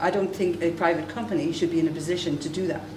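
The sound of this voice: A woman talks at a fast pace with fairly low pitch and fairly even intonation. Clear background noise runs underneath.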